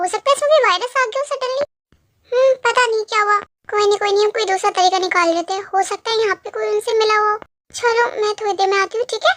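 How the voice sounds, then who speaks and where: In a put-on character voice, a woman talks at a very fast pace. Her pitch is extremely high, with ordinary pitch variation. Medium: fan dub.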